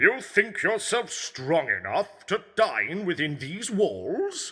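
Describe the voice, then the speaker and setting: Putting on a character voice, a man speaks with a high pitch at a very slow pace. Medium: audio drama. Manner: smug, teasing.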